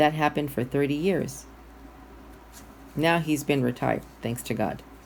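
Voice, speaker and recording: This woman has a very deep, low pitch with vocal fry. She talks at a moderate pace with ordinary pitch variation. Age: 60s. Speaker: guest minister. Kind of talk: sermon.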